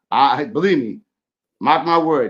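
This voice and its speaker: Here is a man with an American accent. His pitch is fairly high. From Boston, New England. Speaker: sports podcast guest. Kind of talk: casual chat. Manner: halting.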